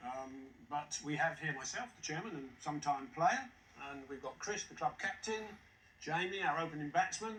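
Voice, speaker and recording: Against noticeable background noise, a man speaks at a moderate pace with a fairly high pitch. His pitch variation is ordinary, but his loudness swings widely. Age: 60s. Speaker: quiz contestant, retired sales manager. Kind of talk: casual chat.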